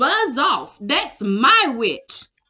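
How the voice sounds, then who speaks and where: A woman puts on a high, shrill character voice with very wide pitch swings. It turns growling and croaky. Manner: menacing, gruff.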